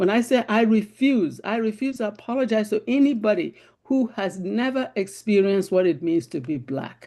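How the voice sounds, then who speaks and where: At a moderate pace and with hardly any pauses, the speaker talks with a Nigerian accent over a quiet background. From Nigeria (Igbo, Biafra). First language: Igbo. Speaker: panel discussion participant. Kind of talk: group discussion.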